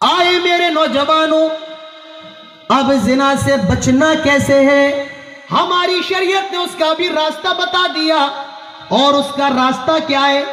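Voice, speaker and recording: Over background music, a man projects his raised voice at an extremely high pitch with ordinary pitch variation. His loudness stays very even, and the room echo is audible. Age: 20s. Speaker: Islamic preacher. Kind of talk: sermon. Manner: animated.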